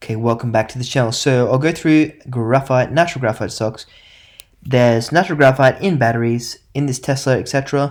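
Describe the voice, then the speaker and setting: A man at medium pitch with fairly even intonation and a fairly quick pace, on a very clean recording with a silent background. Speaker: investing youtuber. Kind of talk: casual stock market talk. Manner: fast.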